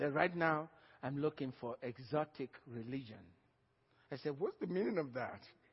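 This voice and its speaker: Speaking with an African accent, a somewhat breathy man keeps a moderate pace, broken by long, frequent pauses. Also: fairly high pitch for a man, ordinary pitch variation. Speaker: pastor. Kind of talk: sermon.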